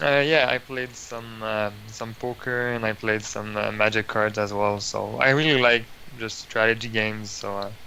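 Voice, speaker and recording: Against noticeable background noise, a man with a fairly low pitch speaks at a moderate pace with fairly even intonation. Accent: Quebec. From Quebec, Montreal. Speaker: competitive card game player. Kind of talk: interview. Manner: hesitant with fillers.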